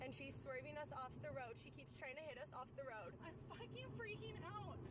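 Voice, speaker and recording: Loud background noise in a dry recording with no echo. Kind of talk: panicked emergency phone call. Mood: panicked, frightened. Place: car. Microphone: phone near.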